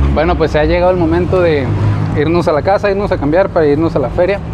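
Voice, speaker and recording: Crowd noise fills the background as a man talks. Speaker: travel vlogger. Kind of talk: casual vlog chat. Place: street. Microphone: lapel.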